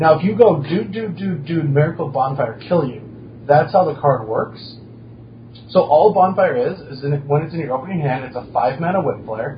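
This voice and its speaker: Over noticeable background noise, a man with a fairly high pitch speaks at a moderate pace with lively intonation and big swings in loudness. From North Dakota. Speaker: pro card game player and commentator. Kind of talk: casual chat.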